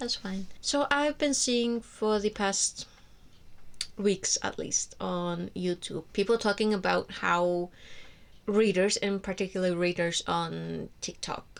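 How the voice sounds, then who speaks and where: A woman with an Icelandic accent speaks at a very slow pace and medium pitch, on a very clean recording with a silent background. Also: ordinary pitch variation. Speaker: book vlogger. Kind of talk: casual monologue to camera. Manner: hesitant, many fillers and restarts.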